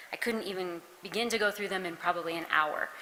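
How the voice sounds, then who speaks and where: A soft-spoken woman's voice with ordinary pitch variation. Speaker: county social worker helping with flood recovery. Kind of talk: public meeting presentation. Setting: town hall meeting in a church.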